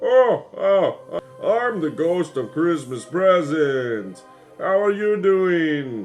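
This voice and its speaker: Against clear background music, a man in a put-on character voice talks very slowly at a high pitch. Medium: solo performance.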